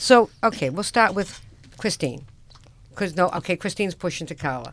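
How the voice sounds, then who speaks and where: With a Boston accent, a woman talks at a moderate pace in a fairly low pitch and lively intonation. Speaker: radio host, construction company owner. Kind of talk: casual radio chat. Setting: radio studio. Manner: animated.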